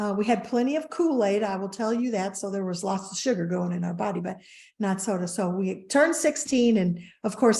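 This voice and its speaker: The somewhat breathy voice holds a moderate pace with ordinary pitch variation. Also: woman. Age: 60s. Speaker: wellness company co-founder. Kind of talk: interview storytelling.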